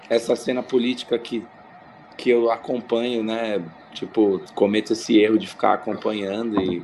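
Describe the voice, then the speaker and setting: Noticeable background noise beneath a man's medium-pitched, moderately paced voice with fairly even intonation. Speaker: skateboarder and podcaster. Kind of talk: casual chat. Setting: video call from home.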